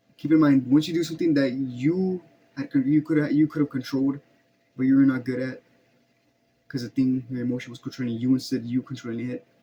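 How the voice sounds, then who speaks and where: A man's somewhat breathy, dark and mellow voice at a very fast pace, with fairly even intonation. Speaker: vlogger. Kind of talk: personal reflection monologue.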